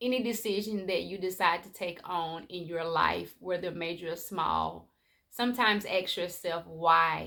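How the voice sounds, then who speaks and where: The voice moves at a fairly slow pace, bright and sharp in tone, with big swings in loudness. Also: woman. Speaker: life coach. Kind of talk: motivational vlog talk. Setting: at home.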